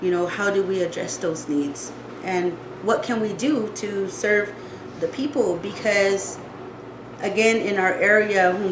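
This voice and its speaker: With an Arizona accent, a woman speaks at a fairly slow pace and fairly even intonation. Audible room echo and noticeable background noise fill the recording. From Tohono O'odham Nation, southern Arizona. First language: O'odham. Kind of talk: presentation. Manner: halting, many fillers.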